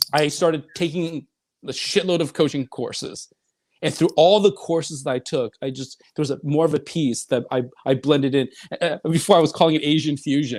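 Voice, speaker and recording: Recorded very cleanly against a silent background, with a dry, close sound and no echo, a man talks fairly quickly in an animated tone at a fairly high pitch with ordinary pitch variation. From Northern California, raised from childhood by Chinese immigrant parents. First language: Chinese. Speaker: life coach and author. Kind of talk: interview.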